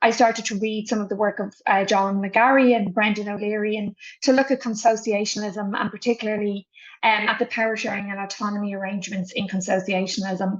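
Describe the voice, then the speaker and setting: A woman with an Irish accent, fairly high-pitched, at a fairly quick pace. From Ireland. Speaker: politics professor. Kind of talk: expert interview. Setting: video interview.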